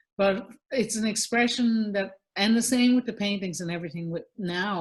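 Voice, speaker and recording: At a moderate pace, a woman speaks with a somewhat breathy voice at medium pitch and ordinary pitch variation. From Newfoundland, Canada. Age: 50s. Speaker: singer-songwriter and visual artist. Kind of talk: podcast interview. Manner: animated, repeats words often.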